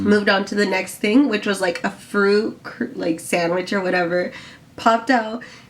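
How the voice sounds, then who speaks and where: Noticeable background noise beneath moderately paced speech with ordinary pitch variation. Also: woman, medium pitch for a woman. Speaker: vlogger. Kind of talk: casual chat.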